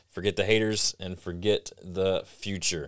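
On a very clean recording with a silent background and a dry, close sound with no echo, a man speaks at a moderate pace in a fairly low voice with ordinary pitch variation. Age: 40s. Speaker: creative coach and podcast host. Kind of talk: solo podcast monologue. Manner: animated.

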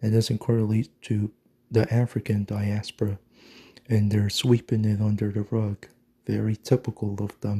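Dry and close with no echo, a man's fairly low, dark, mellow voice comes out somewhat breathy and in a flat monotone. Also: moderate pace. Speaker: video blogger. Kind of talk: angry ranting monologue, conspiratorial and insistent. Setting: morning solo recording. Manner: emphatic, repetitive, hammering points with 'mark my fucking words'.

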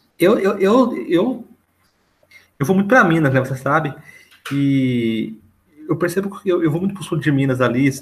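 Long, frequent pauses and very wide pitch swings from a man with a fairly high voice. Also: moderate pace. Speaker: literature podcast co-host. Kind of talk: casual chat. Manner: stutters.

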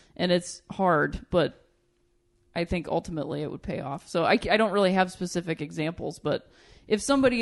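An ordinary speaking voice with an American accent moves at a moderate pace against a quiet background. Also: woman. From Ohio, Akron. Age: 30s. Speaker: comedian. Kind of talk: casual chat. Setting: studio.

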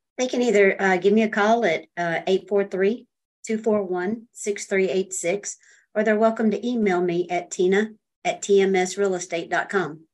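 Against a quiet background, a woman speaks at a medium pitch with an American accent. Her pace is moderate and her pitch variation ordinary. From US South, Myrtle Beach, South Carolina. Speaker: real estate broker. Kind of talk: interview. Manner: hesitant, many fillers.

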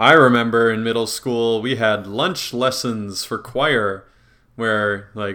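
A man's bright, sharp voice, medium in pitch, fairly slow, with fairly even intonation. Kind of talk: casual chat. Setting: group call. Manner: loud.

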